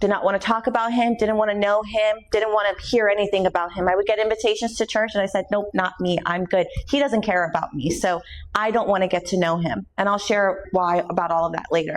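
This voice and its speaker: A woman with a medium pitch speaks at a fairly quick pace, her loudness very even and her pitch varying in an ordinary way. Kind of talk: testimony.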